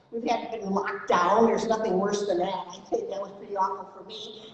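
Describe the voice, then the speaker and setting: A woman talks fairly quickly, her pitch variation ordinary, against noticeable background noise. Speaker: mental health advocate, keynote speaker. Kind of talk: presentation to audience. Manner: fast.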